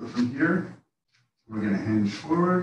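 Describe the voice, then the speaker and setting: Audible room echo fills the recording. A man speaks at a fairly slow pace. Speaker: yoga instructor. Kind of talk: guided yoga class. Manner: calm; relaxed.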